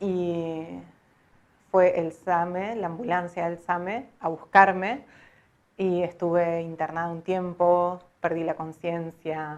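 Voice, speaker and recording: Her pitch fairly low, a woman speaks very slowly with fairly even intonation. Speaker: voice-over artist. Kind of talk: personal story told to camera.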